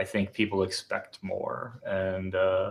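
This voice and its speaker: A man speaks with a Wisconsin accent. His pace is very slow. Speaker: podcast co-host. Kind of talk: casual chat. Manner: halting.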